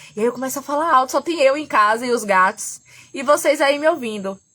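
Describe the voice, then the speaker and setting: Soft-spoken yet animated in tone, a woman with a high pitch and a bright, sharp tone talks at a fairly quick pace with lively intonation. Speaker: therapist and astrology teacher. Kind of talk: live stream talk. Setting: at home. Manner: animated, gets loud; trying to speak softly.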